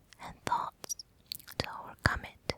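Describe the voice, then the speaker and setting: A woman's slow, soothing whisper, very slow in pace, dry and close with no echo, over noticeable background noise. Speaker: ASMR relaxation guide. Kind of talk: relaxation guide, whispered ASMR. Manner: whispered, soothing.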